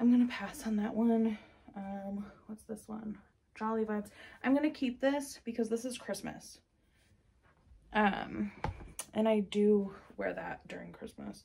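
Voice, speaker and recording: A woman's somewhat breathy voice with a dark, mellow tone, fairly even intonation, a fairly slow pace, long and frequent pauses, and light background noise. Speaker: vlogger. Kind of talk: casual vlog chat. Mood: relaxed, cheerful. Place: home room. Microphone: phone near.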